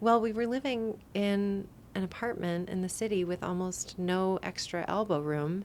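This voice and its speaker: A woman with an American accent at a medium pitch. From Colorado, US. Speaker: podcast host. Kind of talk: personal storytelling monologue. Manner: casual, with fillers and hesitations.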